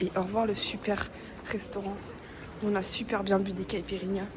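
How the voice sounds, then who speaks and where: Moderately paced speech from a woman over noticeable background noise. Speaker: travel vlogger. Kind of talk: casual vlog. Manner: hesitant, many fillers; animated.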